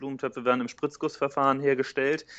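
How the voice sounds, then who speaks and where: Against a quiet background, a man with fairly high pitch speaks at a fairly quick pace in monotone, flat intonation. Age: 30s. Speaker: entrepreneur. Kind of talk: interview.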